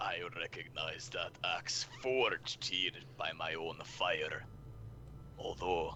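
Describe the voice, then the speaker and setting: A man speaks in a put-on character voice at a very slow pace, with clear background noise behind him. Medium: actual play. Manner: broken, clipped orcish grammar.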